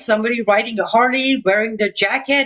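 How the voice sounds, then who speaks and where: Someone with an Iranian accent speaks at a fairly quick pace in a bright, sharp tone. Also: woman. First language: Persian. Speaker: Iranian dissident broadcaster. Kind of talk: political interview.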